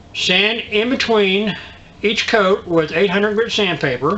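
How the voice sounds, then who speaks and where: Noticeable background noise runs throughout. A man talks at a fairly slow pace. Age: 60s. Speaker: DIY video host. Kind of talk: tutorial. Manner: halting, many fillers.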